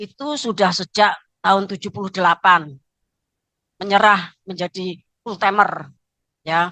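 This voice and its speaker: Speaking at a fairly slow pace with long, frequent pauses, a woman uses a medium pitch, ordinary pitch variation and a bright, sharp tone, her loudness swinging widely in a dry, close recording with no echo. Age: 60s. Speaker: pastor. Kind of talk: sermon. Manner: frequent filler 'ya'.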